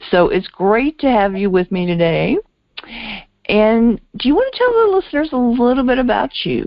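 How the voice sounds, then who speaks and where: Her pace is moderate. This woman's pitch swings very widely as she talks. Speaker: radio host and love coach. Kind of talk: interview.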